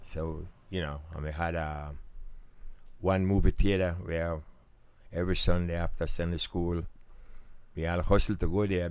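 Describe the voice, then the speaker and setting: A man speaks in a very deep, low voice with flat, monotone intonation. His pace is moderate, broken by long, frequent pauses. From Belize. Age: 80s+. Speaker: retired mechanic. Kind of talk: interview answer.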